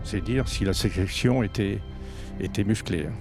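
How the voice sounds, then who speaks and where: Music plays in the background as a man talks at a fairly slow pace. His pitch varies in an ordinary way. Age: 80s+. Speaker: pilot. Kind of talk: interview answer. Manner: hesitant.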